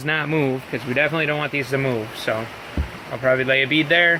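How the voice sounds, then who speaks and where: This man talks at a fairly quick pace with a medium pitch and fairly even intonation. Noticeable background noise runs under his voice. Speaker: car hobbyist vlogger. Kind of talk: casual workshop vlog. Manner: hesitant with many fillers; loud, yelling over rain.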